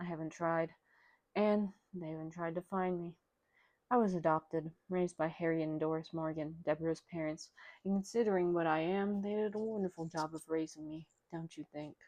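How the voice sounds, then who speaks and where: A woman speaks with a dark, mellow tone. Her intonation is fairly even. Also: fairly low pitch for a woman, moderate pace. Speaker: amateur audiobook reader. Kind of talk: read story. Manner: stutter.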